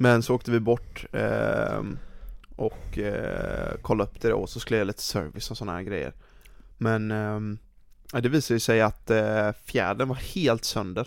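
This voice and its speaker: A man speaks at a moderate pace, leaving long, frequent pauses. The recording is very clean with a silent background. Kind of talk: casual chat. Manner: casual.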